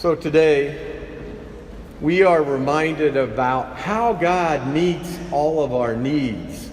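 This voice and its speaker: A fairly high-pitched man at a very slow pace, with ordinary pitch variation and noticeable background noise. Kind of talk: homily delivered at Mass.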